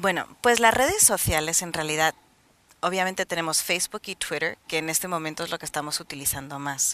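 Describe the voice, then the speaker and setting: With a non-native accent, a woman speaks at a fairly quick pace and a fairly low pitch with ordinary pitch variation, the sound dry with no echo. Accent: noticeable foreign accent in Spanish. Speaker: social media advisor; interview guest. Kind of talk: studio interview. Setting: TV studio with cameras. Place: studio. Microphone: headset.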